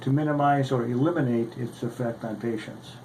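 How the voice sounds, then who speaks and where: Audible room echo surrounds a man's voice of medium pitch. He speaks at a fairly quick pace with fairly even intonation. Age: 60s. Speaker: orthopedic surgeon and patient advocate. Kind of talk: prepared testimony statement. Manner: formal.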